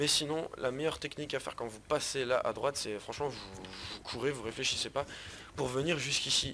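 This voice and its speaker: A man with a medium pitch and ordinary pitch variation is heard against noticeable background noise. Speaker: gaming youtuber. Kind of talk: gameplay commentary. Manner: fast; casual.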